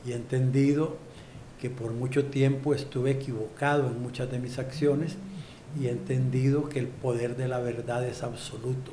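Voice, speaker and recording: Audible room echo surrounds a man's voice. He speaks at a medium pitch in a monotone, flat intonation. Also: moderate pace. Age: 60s. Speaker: politician. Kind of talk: interview.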